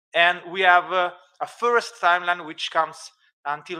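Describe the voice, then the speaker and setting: The pace is fairly slow. A man is talking, and his pitch moves in an ordinary way. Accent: Italian. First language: Italian. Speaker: archaeology researcher presenting a project. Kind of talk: conference presentation with live demo. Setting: conference, streamed. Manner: halting, many fillers.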